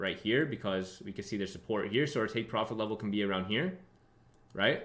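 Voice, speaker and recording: Fairly low in pitch, a man speaks in an animated tone. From born in Russia, grew up in London, New York and Texas. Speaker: trading educator. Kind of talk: live trading tutorial stream. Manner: fast; casual, animated.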